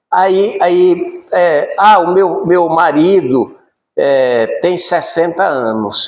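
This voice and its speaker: Audible room echo surrounds a man whose voice is high in pitch. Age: 60s. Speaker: spiritist lecturer. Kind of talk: lecture.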